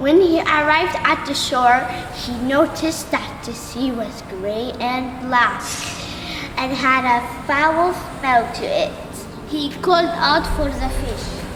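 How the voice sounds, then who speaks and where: Over loud background noise and a clear echo, a female-sounding voice uses a put-on character voice at a high pitch and a fairly slow pace. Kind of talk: fairy tale narration. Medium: stage play.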